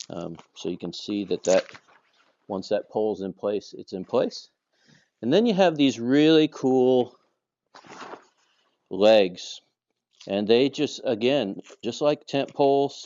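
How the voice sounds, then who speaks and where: Speaking very slowly with long, frequent pauses, a man uses a medium pitch and lively intonation. His loudness swings widely. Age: 50s. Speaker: vlogger. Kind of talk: gear review tutorial. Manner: casual, with many fillers.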